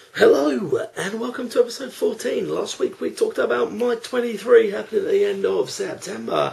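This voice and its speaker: A man with an English accent, at a moderate pace. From England. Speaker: theme park vlogger. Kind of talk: casual vlog monologue. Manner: unscripted, one take. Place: home room. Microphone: webcam.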